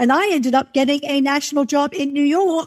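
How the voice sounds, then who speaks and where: In a dry, close sound with no echo, a woman with an American accent speaks at a high pitch. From England. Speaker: music marketer and publicist. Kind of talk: interview conversation. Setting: video call.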